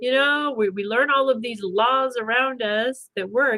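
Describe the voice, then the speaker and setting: A woman speaks loudly at a moderate pace. Her tone is bright and sharp, with ordinary pitch variation. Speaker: spiritual wellness livestream host. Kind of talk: livestream talk to viewers.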